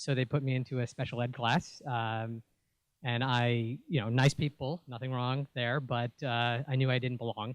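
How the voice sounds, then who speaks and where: A man with a New York accent speaks at a medium pitch in a flat, monotone delivery. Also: moderate pace. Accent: New York American. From New York City (Bronx and Queens). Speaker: venture capitalist. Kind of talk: pitch talk. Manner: many fillers, uh and um.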